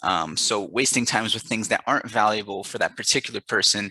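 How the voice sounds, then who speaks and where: The speaker talks at a fairly quick pace in a bright, sharp tone, over a quiet background with a dry, close sound and no echo. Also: man. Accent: American. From United States. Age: 20s. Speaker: English teacher. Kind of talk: self-introduction video. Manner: hesitant with many fillers.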